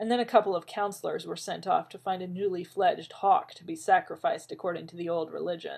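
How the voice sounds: Pitch variation is ordinary in this natural reading voice.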